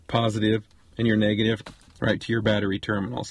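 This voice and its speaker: In a normal speaking voice, a man talks at a fairly quick pace with a fairly low pitch. The sound is dry with no echo, over light background noise. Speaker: RV travel vlogger. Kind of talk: tutorial. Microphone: phone near.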